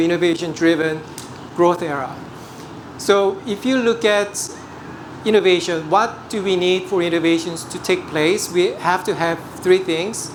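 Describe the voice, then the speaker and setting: Amid noticeable background noise and audible room echo, a man with a Korean accent speaks at a moderate pace in a high pitch. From South Korea. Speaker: portfolio manager. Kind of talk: investment presentation. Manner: hesitant, frequent fillers.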